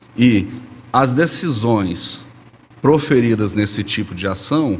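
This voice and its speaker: Over noticeable background noise, a man speaks at a fairly slow pace, his medium pitch showing ordinary variation. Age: 40s. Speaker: lawyer. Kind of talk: expert interview explanation. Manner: formal.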